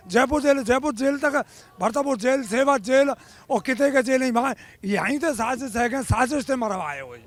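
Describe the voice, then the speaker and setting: A man with an extremely high pitch speaks at a moderate pace and with fairly even intonation. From Agra, Uttar Pradesh. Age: 60s. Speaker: protester. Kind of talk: street interview. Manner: impassioned.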